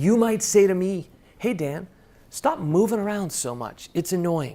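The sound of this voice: Lively intonation marks a man's high-pitched, dark, mellow voice as he speaks at a fairly slow pace.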